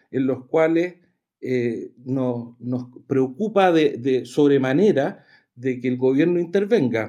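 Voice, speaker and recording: A man speaks at a very slow pace in a dark, mellow tone. His pitch swings very widely. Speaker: political activist, former party vice president. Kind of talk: radio interview.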